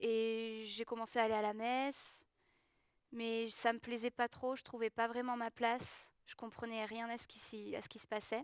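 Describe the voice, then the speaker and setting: The delivery is fairly slow and monotone, flat in intonation with big swings in loudness, in a dry, close sound with no echo. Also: woman, fairly high pitch for a woman. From southwest France, Gers. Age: 20s. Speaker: schoolteacher giving baptism testimony. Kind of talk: testimony. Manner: hesitant, many fillers.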